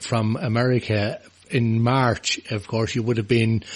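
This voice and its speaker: A man with an Irish accent, fairly slow and monotone, his intonation flat. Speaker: radio host. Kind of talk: radio interview.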